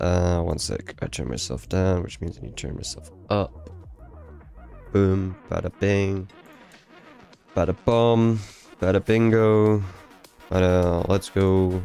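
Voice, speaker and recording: Over music in the background, a man with a very deep, low pitch speaks at a very slow pace, with long, frequent pauses, big swings in loudness, and ordinary pitch variation. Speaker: composer streaming music creation. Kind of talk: live stream chat. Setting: home streaming setup.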